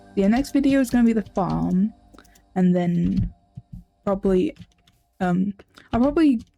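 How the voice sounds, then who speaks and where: Music plays in the background at a moderate pace of speech. Long, frequent pauses break it up. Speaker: gaming video creator. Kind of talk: gameplay commentary. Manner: hesitant, many fillers; loud.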